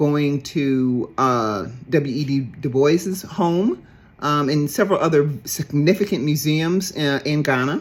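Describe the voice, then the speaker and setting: On a very clean recording with a silent background, a woman with an American accent speaks. Her pitch is very deep and low, and her pace is very slow. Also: ordinary pitch variation. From US South, Dallas, Texas. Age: 60s. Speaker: traveler on a heritage trip. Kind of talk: personal testimony. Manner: halting, many fillers.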